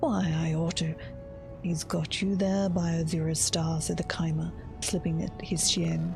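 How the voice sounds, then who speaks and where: A woman talks fairly slowly while music plays behind her. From Australia. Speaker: streamer, content creator. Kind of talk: read story, game lore reading.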